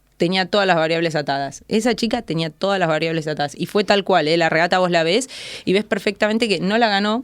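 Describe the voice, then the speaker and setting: A woman with an Argentine accent talks at a very fast pace. Her pitch sits in the middle range, with ordinary pitch variation. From Argentina. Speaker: athlete and coach. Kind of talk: interview.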